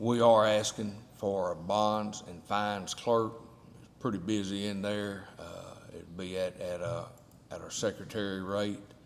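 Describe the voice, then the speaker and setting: In an American accent, a man speaks fairly slowly and fairly low in pitch. His intonation is monotone and flat, with audible room echo. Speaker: county official presenting budget. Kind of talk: budget presentation at public meeting.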